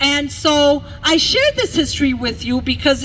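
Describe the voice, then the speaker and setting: There is noticeable background noise. A woman talks at high pitch with ordinary pitch variation. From Mexico, raised in Milwaukee from childhood. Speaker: bilingual teacher, rally speaker. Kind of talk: rally speech. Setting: outdoor rally in a park. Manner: impassioned.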